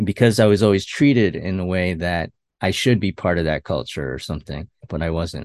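The voice has vocal fry and ordinary pitch variation, moving at a fairly quick pace. The sound is dry and close with no echo, and the background is quiet. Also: man, very deep, low pitch for a man. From Westchester, New York. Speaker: web designer and work-from-home dad. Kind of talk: interview conversation. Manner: halting, many fillers and restarts.

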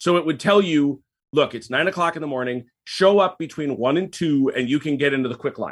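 This man has an ordinary speaking voice, fairly high in pitch, with ordinary pitch variation. He talks at a fairly quick pace. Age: 50s. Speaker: history enthusiast podcast guest. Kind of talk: casual chat.

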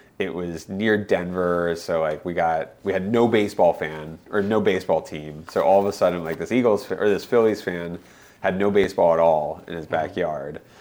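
Speaking at a moderate pace with an American accent, a man keeps a very deep, low pitch and fairly even intonation. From northeastern Pennsylvania and Colorado. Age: 40s. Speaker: mayor. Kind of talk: interview. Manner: casual, filler-heavy.

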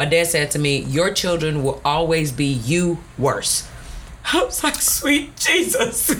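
Noticeable background noise sits behind a woman with an American accent. She speaks at a very slow pace with very even loudness. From US South, Houston area, Texas. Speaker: math and science teacher. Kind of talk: casual chat.

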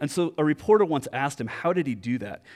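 A man at a very fast pace with lively intonation, in a very clean recording over a silent background. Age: 40s. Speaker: pastor. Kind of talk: sermon.

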